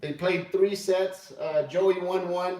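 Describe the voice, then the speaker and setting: A loud man speaks at a fairly slow pace over noticeable background noise. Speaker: pool player streamer. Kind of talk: live stream commentary. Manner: hesitant, filler-heavy.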